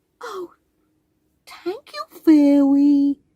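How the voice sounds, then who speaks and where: A high-pitched, put-on character voice. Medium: read story.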